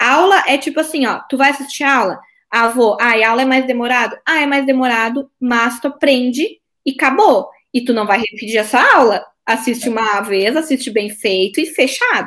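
A woman speaks in a high pitch with a strong Porto Alegre accent. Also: ordinary pitch variation, moderate pace. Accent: strong Porto Alegre (gaúcho). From southern Brazil, Porto Alegre. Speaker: court officer and exam-prep teacher. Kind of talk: casual interview chat.

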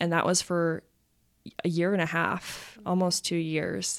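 Fairly low in pitch, a woman speaks with monotone, flat intonation in a very clean recording with a silent background. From Utah. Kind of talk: casual interview.

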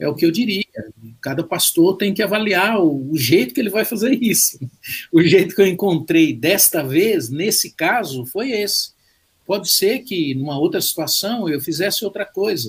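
Lively intonation and a high pitch mark this man's voice at a moderate pace. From Brazil, Minas Gerais (Belo Horizonte). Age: 60s. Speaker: pastor. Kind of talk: casual interview and prayer. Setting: video call.

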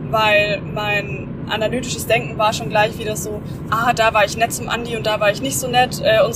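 A woman at a fairly high pitch with ordinary pitch variation and a moderate pace, over noticeable background noise. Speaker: podcast host. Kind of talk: casual chat. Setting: in a car on the motorway. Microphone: microphone mistake, poor audio quality.

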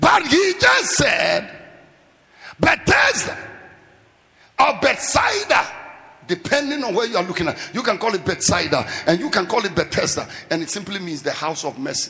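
Against noticeable background noise, the speaker uses an animated tone with very wide pitch swings, a moderate pace and long, frequent pauses. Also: man, high pitch for a man. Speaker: preacher. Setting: church with live congregation.

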